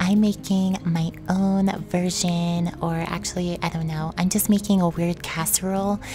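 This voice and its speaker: Over noticeable background noise, a voice whispers at a moderate pace. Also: woman. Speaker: mukbang YouTuber. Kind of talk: eating show with voice-over narration. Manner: whispering; casual, chatty.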